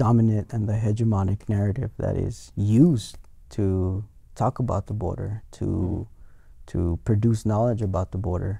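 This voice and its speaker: With a dark, mellow tone and a somewhat breathy quality, a man speaks at a fairly low pitch and moderate pace with fairly even intonation, the sound dry with no echo over a quiet background. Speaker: guest. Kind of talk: interview answer. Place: studio. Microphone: lapel.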